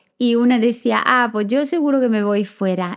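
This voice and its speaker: A woman with a non-native accent speaks in a high pitch with lively intonation. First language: not Spanish (speaking Spanish). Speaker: midwife and podcast host. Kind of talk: podcast interview.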